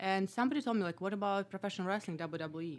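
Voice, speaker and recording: In a Russian accent, a woman speaks at a medium pitch with ordinary variation in her tone. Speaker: comedian and former kickboxer. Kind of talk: casual chat. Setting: studio.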